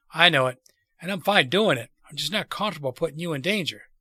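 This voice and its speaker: In a put-on, raspy character voice, a man talks very fast at a high pitch with ordinary pitch variation, recorded dry and close with no echo in a very clean recording with a silent background. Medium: read story.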